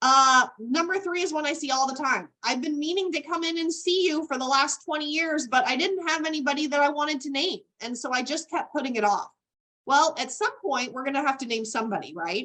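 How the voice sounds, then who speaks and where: A woman's raised, projected voice, high in pitch with a bright, sharp tone, lively intonation and a fairly quick pace. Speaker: estate planning attorney. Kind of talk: webinar presentation.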